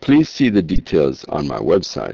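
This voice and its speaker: A man speaks at a fairly slow pace with an American accent. The sound is dry and close, with no echo. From Jamaica. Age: 60s. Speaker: political candidate. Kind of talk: campaign speech.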